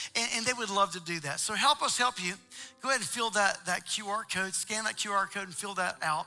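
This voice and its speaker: Over faint music in the background, a man uses a raised, projected voice at a moderate pace with ordinary pitch variation. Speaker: church pastor making announcements. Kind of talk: church announcements to congregation. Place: church.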